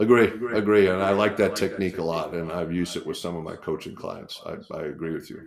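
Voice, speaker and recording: A man at a very fast pace, with big swings in loudness. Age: 60s. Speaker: author and leadership coach. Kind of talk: interview. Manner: hesitant with fillers.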